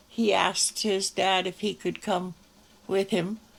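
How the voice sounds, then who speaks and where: At a very slow pace, a woman with a western Canadian accent speaks in a medium-pitched, monotone voice with flat intonation. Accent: rural western Canadian. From Canada, rural Alberta. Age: 80s+. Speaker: elderly local museum owner. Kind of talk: interview. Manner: halting.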